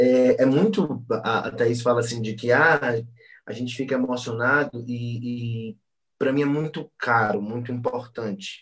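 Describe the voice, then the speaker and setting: A man with a medium pitch speaks at a fairly slow pace in a plain, everyday voice with fairly even intonation. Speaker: psychologist. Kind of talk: casual chat.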